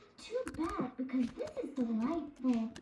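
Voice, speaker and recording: A woman uses a put-on character voice at a high pitch. She speaks at a fairly slow pace. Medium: audio drama. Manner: imperious, spirited.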